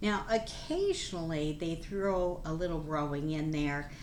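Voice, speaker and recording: Amid audible room echo, a woman with a very deep, low pitch speaks at a fairly slow pace with ordinary pitch variation. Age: 70s. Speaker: nurse and plant-based nutrition vlogger. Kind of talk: casual informational talk to camera. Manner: animated.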